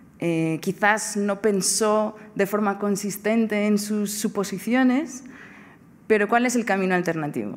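At a very slow pace, a woman with a Portuguese accent speaks at a medium pitch with ordinary pitch variation. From Portugal. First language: Portuguese (speaking Spanish). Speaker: philosophy professor. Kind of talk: lecture. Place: hall. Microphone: podium.

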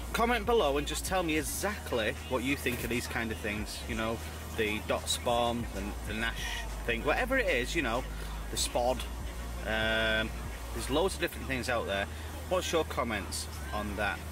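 A man with a very deep, low pitch talks at a moderate pace with long, frequent pauses. Clear music plays behind a dry sound with no echo. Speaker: angler vlogger. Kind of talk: casual vlog chat. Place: tent.

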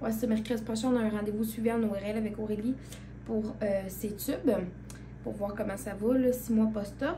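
With light background noise, a woman with a Quebec accent speaks at a moderate pace in a fairly high pitch and monotone, flat intonation. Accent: Québécois French. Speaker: vlogger. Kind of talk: casual vlog chat. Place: home room. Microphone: phone near.

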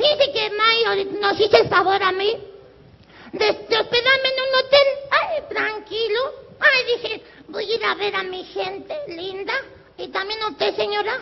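In a put-on character voice with an extremely high pitch, a man speaks at a moderate pace in a playful tone. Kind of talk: live comic clown routine. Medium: stage play. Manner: playful, crude; mock-sweet, then suddenly brash.

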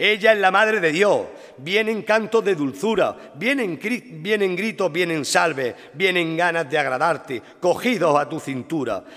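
A man with an Andalusian accent, high-pitched and lively in intonation, at a fairly slow pace. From Linares, Andalusia, Spain; Andalusia, Spain. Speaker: devotional poet orator giving the festival proclamation. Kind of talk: solemn poetic proclamation, rhymed devotional verse delivered as oratory. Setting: stage with audience. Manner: rhetorical, fervent, rhythmic with lyrical cadence; emotional, reverent. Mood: solemn, devotional, emotive. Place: stage. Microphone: podium.

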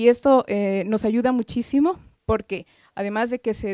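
The woman has a dark, mellow tone at a fairly high pitch, with ordinary pitch variation. The sound is dry with no echo, over a quiet background. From Ecuador. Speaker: government gender-equality official, audience member; audience member. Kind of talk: audience comment at conference. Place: meeting room.

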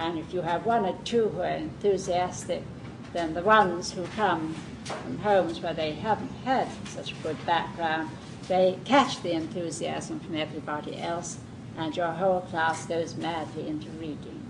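A woman talks at a moderate pace, her pitch fairly low with ordinary variation. Noticeable background noise runs under her. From southern England. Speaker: Montessori teacher trainer. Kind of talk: lecture. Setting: classroom with live audience.

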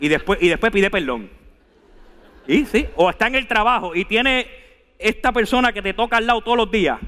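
In an animated tone, a man speaks at a fairly quick pace, high-pitched with ordinary pitch variation. The background is quiet. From Venezuela. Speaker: preacher. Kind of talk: sermon delivered live to a congregation, with scripture reading and calls to respond. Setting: church. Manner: animated, emphatic and exhortative, urging the congregation to repeat and stand; conversational, asides and humor, direct address. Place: church. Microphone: headset.

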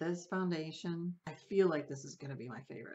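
A woman speaks at a fairly quick pace with ordinary pitch variation. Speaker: beauty vlogger. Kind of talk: casual product review chat. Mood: enthusiastic, relaxed. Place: home room.

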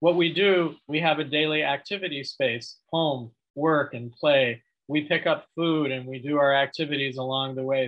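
Over a quiet background, a man with a normal speaking voice talks at a fairly high pitch and a moderate pace. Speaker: public health researcher. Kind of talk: presentation. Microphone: webcam.

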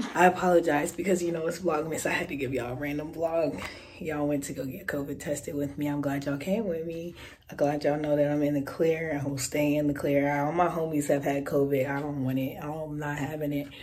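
The speech comes very fast, with noticeable background noise behind it. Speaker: vlogger. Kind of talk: casual vlog. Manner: animated.

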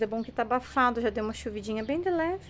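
A woman talks over light background noise. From Brazil. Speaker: vlogger and hair salon owner; vlogger. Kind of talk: casual vlog talk to camera.

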